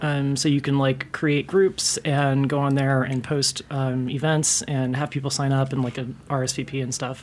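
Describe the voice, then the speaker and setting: With an American accent, the speaker talks at a fairly slow pace in a monotone, flat intonation, with hardly any pauses and noticeable background noise. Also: woman, very deep, low pitch for a woman. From Tallahassee, Florida, US South. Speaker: former bartender. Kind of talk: casual chat. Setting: studio.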